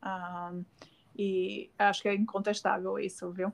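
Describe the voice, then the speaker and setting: A woman with a Brazilian accent, medium-pitched, at a very slow pace. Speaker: communications professional and podcast host. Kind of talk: casual interview chat.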